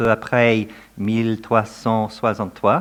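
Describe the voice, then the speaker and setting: At a very slow pace, a man with a non-native accent speaks at a medium pitch. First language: not French (speaking French). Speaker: professor of theology. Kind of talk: academic lecture. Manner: reading from prepared text.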